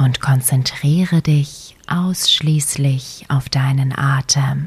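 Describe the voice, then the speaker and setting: A woman speaks very slowly with a very deep, low pitch and a soothing tone. Her intonation stays fairly even. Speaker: meditation guide. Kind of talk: guided meditation. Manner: slow, soft-spoken, soothing, with long pauses.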